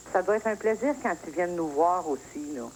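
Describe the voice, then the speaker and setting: There is noticeable background noise as a woman speaks with lively intonation in a fairly low voice. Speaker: caller. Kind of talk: phone-in talk.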